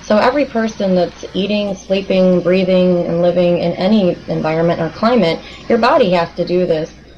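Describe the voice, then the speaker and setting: A woman's medium-pitched voice with an American accent, at a moderate pace with ordinary pitch variation, over noticeable background noise. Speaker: clinical nutritionist. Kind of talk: interview.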